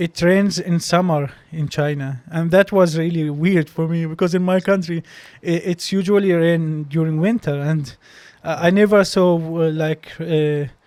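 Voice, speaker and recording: A man with an Arabic accent has a high-pitched voice. He keeps a moderate pace and fairly even intonation. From Palestine, West Bank. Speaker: doctor and medical graduate student. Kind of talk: interview conversation. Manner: halting, many repeated words.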